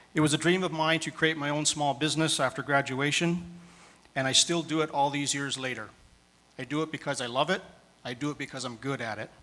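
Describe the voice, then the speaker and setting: Speaking with a Canadian accent, a man uses a fairly high pitch and a bright, sharp tone with fairly even intonation. His pace is fairly quick, yet he takes long, frequent pauses. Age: 50s. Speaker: municipal council candidate. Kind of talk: campaign speech. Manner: formal.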